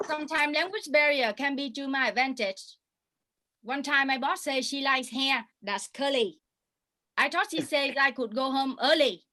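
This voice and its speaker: In a Vietnamese accent, a woman speaks at a moderate pace with a high pitch and ordinary pitch variation. Her tone is bright and sharp, and her voice is raised and projected. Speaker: stand-up comedian. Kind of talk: stand-up. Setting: video call.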